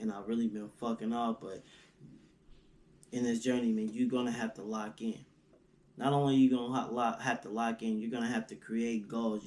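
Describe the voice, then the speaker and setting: At a fairly quick pace, a man speaks at a medium pitch with monotone, flat intonation. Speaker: motivational vlogger, aspiring entrepreneur. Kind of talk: casual motivational monologue.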